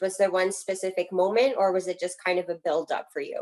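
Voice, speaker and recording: A woman talks at a moderate pace in a plain, everyday voice. Her pitch is medium with ordinary variation. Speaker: podcast host. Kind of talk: casual interview chat.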